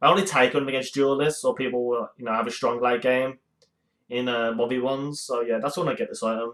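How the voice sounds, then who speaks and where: A man with a medium pitch talks very fast. His intonation stays fairly even. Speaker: gaming YouTuber. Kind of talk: tutorial. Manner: hesitant with fillers.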